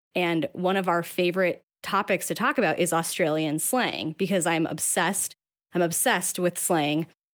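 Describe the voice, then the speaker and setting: In a very clean recording with a silent background, a woman with an American accent uses an ordinary speaking voice at a fairly low pitch and moderate pace, with ordinary pitch variation and very even loudness. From Salt Lake City, US. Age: 30s. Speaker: podcast co-host guest. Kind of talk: casual chat.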